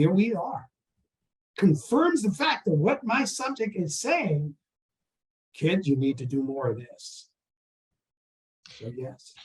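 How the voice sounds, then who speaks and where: A man with an American accent speaks at a very slow pace, leaving long, frequent pauses. His high pitch makes very wide swings. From US South. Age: 70s. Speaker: artist and university professor. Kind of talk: interview.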